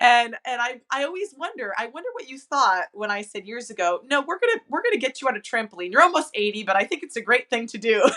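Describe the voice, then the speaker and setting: Talking at a very fast pace with hardly any pauses, a woman with a high pitch sounds enthusiastic, her voice making very wide pitch swings and big swings in loudness. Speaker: fitness trainer. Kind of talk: interview host talk.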